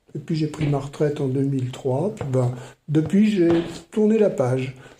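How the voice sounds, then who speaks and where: A man speaks at a fairly high pitch in a dark, mellow, somewhat breathy tone. His pace is moderate and his pitch variation ordinary. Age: 70s. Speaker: retired maths teacher and writer. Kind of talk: podcast interview. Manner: hesitant, many fillers.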